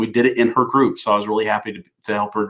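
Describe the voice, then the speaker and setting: A man with a Southern US accent, bright, sharp tone and fairly even intonation. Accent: Southern drawl. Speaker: business coach. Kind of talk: live stream talk to viewers. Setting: live video broadcast. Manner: halting, many fillers and repeats.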